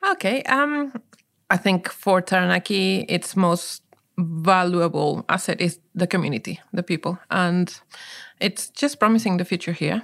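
A woman with a medium pitch and lively intonation speaks at a fairly slow pace in a very clean recording with a silent background. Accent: strong Peruvian. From Peru, Lima. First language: Spanish. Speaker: coffee business co-founder. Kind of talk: interview.

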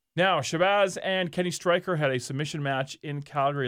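Here is a man with an unremarkable speaking voice. His pace is moderate and his intonation fairly even. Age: 40s. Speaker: wrestling podcast co-host. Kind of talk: casual chat.

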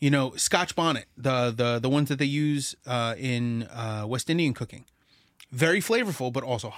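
On a very clean recording with a silent background, a man with a plain, everyday voice speaks at a moderate pace and medium pitch, with ordinary pitch variation. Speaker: music podcast co-host. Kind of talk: casual chat. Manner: profane, joking.

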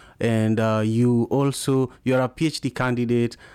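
A man with a strong Kenyan accent speaks in a medium pitch with a dark, mellow tone. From Kenya (Kisumu). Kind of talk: live interview and call-in show. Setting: live audio room and video stream.

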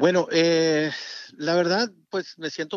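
Here a man speaks with a fairly high pitch. His pace is very slow. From Mexico, Durango sierra. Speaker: music producer. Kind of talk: interview. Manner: halting.

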